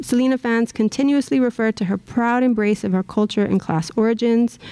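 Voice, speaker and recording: With an American accent, a woman speaks at a moderate pace in a dark, mellow tone with ordinary pitch variation against a quiet background. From South Texas. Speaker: professor. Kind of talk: lecture. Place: hall. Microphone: podium.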